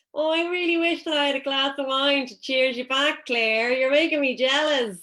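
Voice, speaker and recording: A woman with an Irish accent speaks in a raised, projected voice with a bright, sharp tone. Her pitch is high with ordinary variation, and her pace is moderate. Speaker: panel moderator. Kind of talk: panel discussion moderation.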